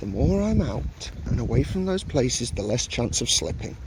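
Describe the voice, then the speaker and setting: There is audible room echo on this clip, along with noticeable background noise. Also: man. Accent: English. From England. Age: 30s. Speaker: travel vlogger. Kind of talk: casual vlog narration. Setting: outdoors in a park. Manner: muffled by face mask.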